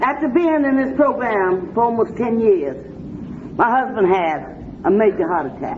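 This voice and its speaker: A woman at a fairly high pitch with very wide pitch swings and a moderate pace, amid noticeable background noise and audible room echo. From Washington D.C. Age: 60s. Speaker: recovering addict speaker. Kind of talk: recovery meeting talk. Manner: animated.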